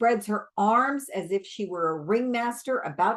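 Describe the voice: Pitch variation is ordinary in this plain reading aloud.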